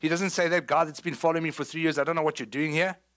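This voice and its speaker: On a very clean recording with a silent background, a man speaks in a high pitch with a South African accent. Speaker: pastor. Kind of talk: sermon. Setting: church.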